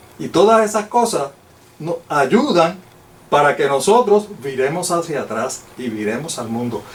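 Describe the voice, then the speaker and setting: A man's voice with very wide pitch swings at a moderate pace, amid audible room echo and noticeable background noise. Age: 60s. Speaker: lay Bible teacher. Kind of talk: Bible study lecture.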